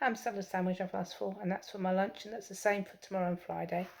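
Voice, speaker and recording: In a very clean recording with a silent background, a woman of medium pitch uses a normal speaking voice with fairly even intonation. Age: 60s. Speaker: nomad living in her car. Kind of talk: casual vlog talk to camera.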